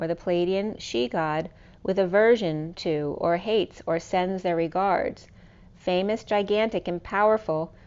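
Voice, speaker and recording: At a fairly slow pace, a woman talks in an ordinary speaking voice with a medium pitch and ordinary pitch variation. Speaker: tarot and oracle card reader, spiritual coach. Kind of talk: tarot reading, casual talk to camera.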